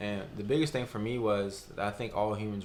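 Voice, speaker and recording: Speaking with a Southern US accent, a man with a fairly low pitch keeps a fairly quick pace and fairly even intonation. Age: 20s. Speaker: college student. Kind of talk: testimony.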